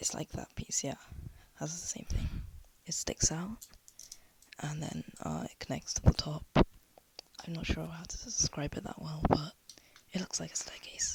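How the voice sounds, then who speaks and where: Whispering at a moderate pace with long, frequent pauses comes through noticeable background noise. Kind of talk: casual DIY tutorial talk. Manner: quiet, soft-spoken; hesitant, many filler words.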